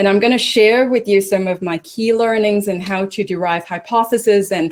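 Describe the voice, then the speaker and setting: At a moderate pace, a woman with an American accent speaks with fairly even intonation. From Hong Kong. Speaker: business executive, presenter. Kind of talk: webinar presentation. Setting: online webinar.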